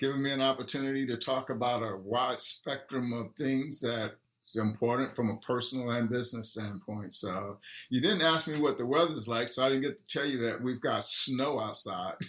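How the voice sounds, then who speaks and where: A man with an American accent, a bright, sharp tone and a moderate pace. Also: medium pitch for a man, ordinary pitch variation. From Texas. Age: 60s. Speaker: restaurant cofounder. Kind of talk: interview.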